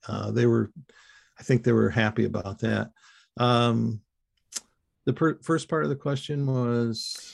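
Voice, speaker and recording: The recording of this man is very clean, with a silent background. He speaks at a fairly slow pace with long, frequent pauses. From US Midwest (Ypsilanti, Michigan). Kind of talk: interview. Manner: halting, many fillers.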